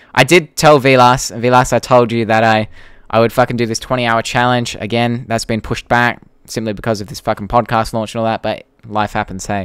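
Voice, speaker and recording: A man with an Australian accent at medium pitch, fairly quick, with fairly even intonation. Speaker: YouTuber and podcast host. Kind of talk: live stream Q&A. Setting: live stream. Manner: casual, hesitant with fillers.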